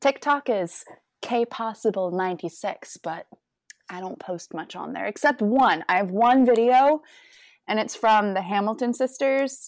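A woman with an American accent speaks at a fairly high pitch and a fairly slow pace, in a normal speaking voice. Her intonation is lively with big swings in loudness, over a very clean recording with a silent background. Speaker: guest. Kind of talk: casual interview chat.

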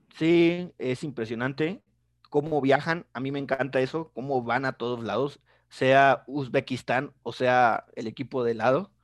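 With a normal speaking voice, a man talks at a fairly slow pace and medium pitch with fairly even intonation, the sound dry and close with no echo over a quiet background. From Mexico, Tampico. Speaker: football youtuber. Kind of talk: casual interview.

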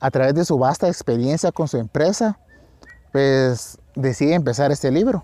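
A man with a fairly high pitch keeps his loudness very even. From Guatemala. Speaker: podcast host summarizing books. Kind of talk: book summary monologue. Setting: outdoors on a farm.

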